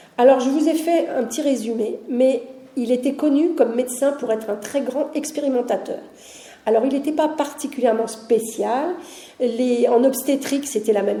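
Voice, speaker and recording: A high-pitched woman speaks with ordinary pitch variation amid noticeable background noise and audible room echo. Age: 60s. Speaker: heritage officer at a deaf school, lecturer. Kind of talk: public lecture. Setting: conference hall with audience. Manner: conversational, with frequent hesitations.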